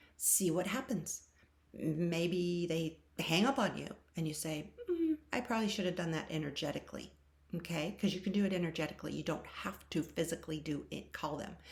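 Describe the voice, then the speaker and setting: Somewhat breathy and fairly low-pitched, a woman talks at a moderate pace with ordinary pitch variation. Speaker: tarot reader. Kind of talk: channeled tarot reading. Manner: animated.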